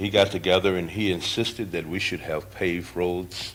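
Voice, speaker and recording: Audible room echo around a man speaking at a moderate pace in a very deep, low pitch. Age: 60s. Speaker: citizen addressing city council. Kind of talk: public comment. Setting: city council meeting. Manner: halting.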